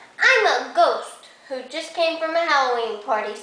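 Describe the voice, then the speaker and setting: A woman performs a put-on character voice at an extremely high pitch and moderate pace. There is a slight echo. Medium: read story.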